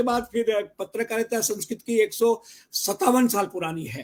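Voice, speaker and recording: This is a man speaking. His pitch is extremely high. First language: Gujarati (speaking Hindi). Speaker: Sanskrit scholar and news reader. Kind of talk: interview.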